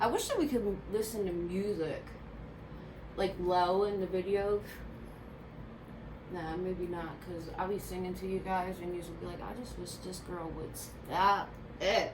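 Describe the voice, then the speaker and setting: Amid noticeable background noise and audible room echo, a woman with a Philadelphia accent speaks fairly slowly, with long, frequent pauses and big swings in loudness. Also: medium pitch for a woman, fairly even intonation. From Philadelphia, US. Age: 30s. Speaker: beauty vlogger. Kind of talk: casual chat.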